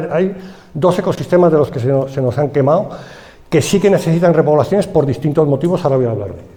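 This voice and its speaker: With a Madrid accent, a man speaks at a fairly high pitch with ordinary pitch variation, alongside noticeable background noise and audible room echo. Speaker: forestry engineer. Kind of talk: conference talk. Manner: halting.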